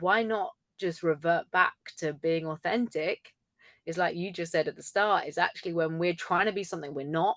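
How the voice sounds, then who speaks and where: Against a quiet background, a woman with a fairly low pitch speaks at a moderate pace, the sound dry and close with no echo. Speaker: communication coach and speaker. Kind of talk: casual chat. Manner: animated.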